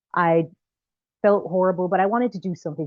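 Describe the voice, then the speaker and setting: Her voice sits at a fairly low pitch. The woman speaks with a slight Jamaican accent. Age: young. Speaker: filmmaker and actress. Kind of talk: interview conversation. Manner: halting.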